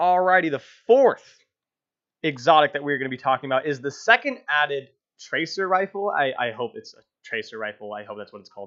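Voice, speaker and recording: A man speaks in an enthusiastic, bright, sharp tone at a fairly quick pace, his fairly high pitch swinging very widely. His loudness swings a lot, over a quiet background. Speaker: gaming YouTuber. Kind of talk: video game review. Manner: casual, enthusiastic.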